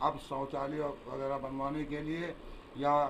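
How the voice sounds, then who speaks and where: A man with a fairly high pitch speaks in a flat monotone, and the room echo is audible. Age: 70s. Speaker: local politician, former town council chairman. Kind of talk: press interview.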